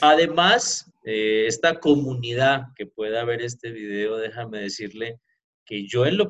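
A normal speaking voice at a fairly slow pace. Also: man. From Pereira, Colombia. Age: 40s. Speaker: entrepreneur sharing his life story. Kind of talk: interview, personal life story.

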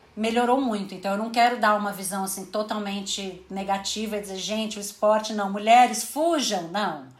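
Audible room echo and noticeable background noise are both present in the clip. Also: woman, hardly any pauses. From Brazil, São Paulo. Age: 30s. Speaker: sports journalist and manager. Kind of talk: casual interview chat.

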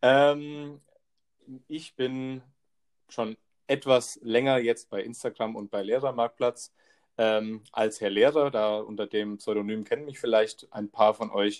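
With fairly even intonation, a man speaks at a very slow pace, leaving long, frequent pauses. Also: medium pitch for a man. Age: 20s. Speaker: trainee teacher and podcast co-host. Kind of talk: casual chat.

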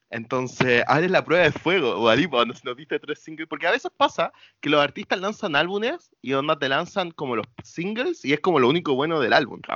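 In a Chilean accent, a man with a fairly high pitch talks with hardly any pauses. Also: lively intonation, fairly quick pace. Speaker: podcast co-host. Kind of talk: casual chat. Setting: remote recording from home.

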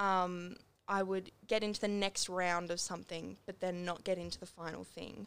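At a moderate pace, a woman with an Australian accent speaks in a monotone, flat intonation at a medium pitch. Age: young. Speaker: singer-songwriter. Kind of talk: casual interview.

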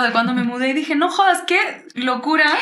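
A woman with a high pitch uses a raised, projected voice and lively intonation at a fairly quick pace. Audible room echo and noticeable background noise are present. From Uruguay. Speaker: singer-songwriter. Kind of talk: casual interview chat.

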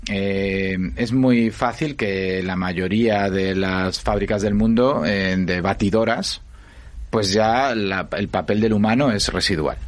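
A man talks at a very slow pace. His pitch is fairly low. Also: ordinary pitch variation. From Spain, Asturias. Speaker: innovation foundation director. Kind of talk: interview.

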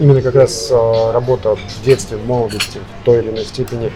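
Music plays in the background as a man speaks at a very fast pace. His pitch is medium. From Russia. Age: 30s. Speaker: restaurant owner and chef. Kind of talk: interview. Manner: halting.

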